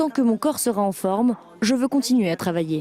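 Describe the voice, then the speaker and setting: A woman's fairly high pitch and lively intonation at a fairly quick pace, with noticeable background noise. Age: 70s. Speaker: restaurant owner. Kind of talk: interview.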